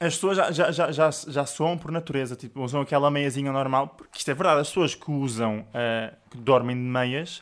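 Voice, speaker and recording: In a normal speaking voice, a man talks at a fairly quick pace with a fairly high pitch, ordinary pitch variation, and big swings in loudness, on a very clean recording with a silent background. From Portugal, Sintra area. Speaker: podcast co-host. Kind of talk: casual chat.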